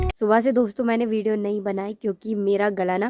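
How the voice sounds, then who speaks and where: A woman's medium-pitched voice, monotone with flat intonation. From Uttarakhand hills, India. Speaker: village lifestyle vlogger. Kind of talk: casual vlog talk. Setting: outdoors in village, after rain.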